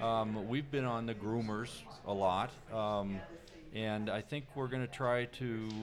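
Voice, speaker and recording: A man speaks over music in the background. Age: 60s. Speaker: ski instructor coach. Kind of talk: casual interview.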